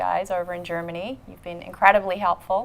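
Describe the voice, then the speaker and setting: With an Australian accent, a woman speaks at a very fast pace. Her medium-pitched delivery is monotone and flat. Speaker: marketing executive, show co-host. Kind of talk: casual chat.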